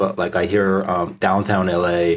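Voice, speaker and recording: Speaking at a fairly slow pace, a man talks with a Korean accent. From South Korea. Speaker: startup founder. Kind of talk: podcast interview. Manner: hesitant, many fillers.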